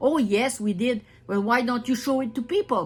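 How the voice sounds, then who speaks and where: In an Acadian accent, a woman speaks at a moderate pace with a high pitch and ordinary pitch variation. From northern New Brunswick, Canada. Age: 70s. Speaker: retired wood scaler and anti-spraying activist. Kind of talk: personal testimony. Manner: halting, many repetitions and restarts.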